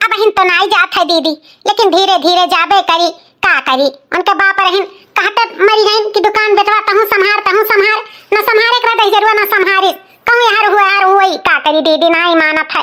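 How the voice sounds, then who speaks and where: A woman uses a cartoonish character voice with an extremely high pitch. She keeps a moderate pace and very even loudness. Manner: soft-spoken, meek.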